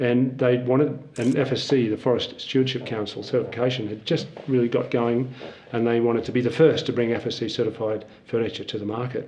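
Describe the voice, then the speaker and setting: Speaking at a fairly quick pace, a man with an Australian accent keeps his intonation monotone and flat. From rural Australia, near Melbourne. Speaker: forester and nonprofit founder; interview guest. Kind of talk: interview. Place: office. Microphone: lapel.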